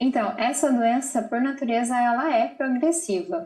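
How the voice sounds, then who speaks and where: Speaking at a fairly slow pace, this woman has a plain, everyday voice. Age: 30s. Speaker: mother with bipolar disorder, channel owner. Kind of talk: live TV interview.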